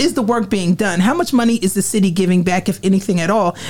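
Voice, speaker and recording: A woman with a New Jersey accent amid noticeable background noise. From Trenton, New Jersey. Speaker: city council candidate. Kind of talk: campaign speech.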